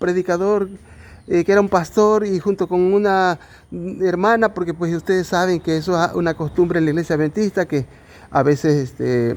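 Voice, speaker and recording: Fairly even intonation marks this man's high-pitched voice. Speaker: lay preacher. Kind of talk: bible study. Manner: slow; halting.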